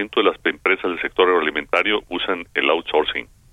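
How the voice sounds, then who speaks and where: A man speaks at a moderate pace. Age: 60s. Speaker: agricultural business association leader. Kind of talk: radio interview. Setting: phone call.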